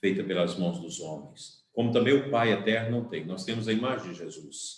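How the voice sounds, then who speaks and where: Medium in pitch, a man talks in an ordinary speaking voice. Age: 60s. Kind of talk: sermon.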